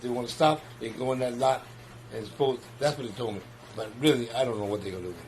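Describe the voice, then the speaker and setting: A medium-pitched man with an American accent at a very fast pace, with big swings in loudness, ordinary pitch variation and noticeable background noise. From New York. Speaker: community gardener and neighborhood organizer. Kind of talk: interview. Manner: halting, repetitive starts.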